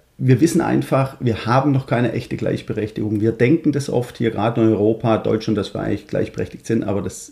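With a Swabian accent, a man talks at a medium pitch and a fairly quick pace, with hardly any pauses. His tone is dark and mellow, with vocal fry and ordinary pitch variation. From Swabia, Stuttgart (Germany). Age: 40s. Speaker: fathers' coach and founder. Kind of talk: podcast interview.

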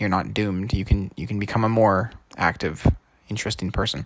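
This man's fairly low voice carries vocal fry and ordinary pitch variation. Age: 20s. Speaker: podcaster, programmer. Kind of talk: solo monologue podcast.

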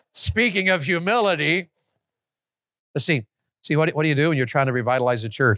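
This man's fairly high, bright, sharp voice moves at a very fast pace with lively intonation and very even loudness, broken by long, frequent pauses, on a dry, close, very clean recording with a silent background and no echo. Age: 50s. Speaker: evangelist. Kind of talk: sermon. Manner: animated.

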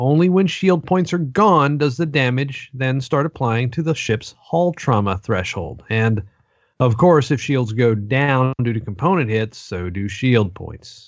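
A man speaks in a normal speaking voice at a medium pitch. His intonation is lively and his pace fairly slow. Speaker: podcast co-host. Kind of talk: casual chat.

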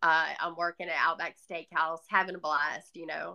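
Over a quiet background, a woman in a Southern US accent speaks in a bright, sharp tone at a fairly low pitch. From US South. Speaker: author. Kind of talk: testimony.

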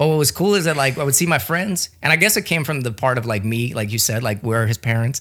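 Hardly pausing, a man races along at a very fast pace. His intonation is lively. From New Orleans. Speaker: missionary and pastor. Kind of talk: casual interview chat.

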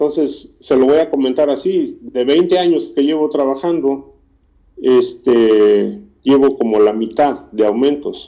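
The man talks at a fairly slow pace. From Mexico, Morelos. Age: 50s. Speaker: factory worker. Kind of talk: interview.

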